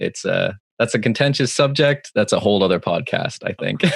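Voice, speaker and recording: The dry, close sound with no echo carries a man with a Northern Irish accent and ordinary pitch variation. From Northern Ireland, Belfast. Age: 20s. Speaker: live sound engineer. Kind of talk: casual chat. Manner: halting.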